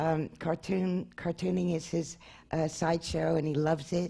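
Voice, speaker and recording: Speaking fairly slowly in an American accent, a woman has a very deep, low pitch, a dark, mellow tone and vocal fry. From Brooklyn, New York. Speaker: anthropologist and author. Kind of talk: lecture. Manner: halting, many fillers.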